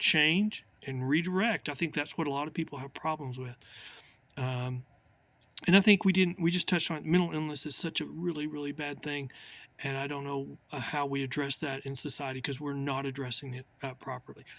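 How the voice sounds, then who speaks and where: A man talks in a normal speaking voice at a fairly quick pace, his pitch fairly high and his pitch variation ordinary. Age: 60s. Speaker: attorney. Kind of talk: casual chat.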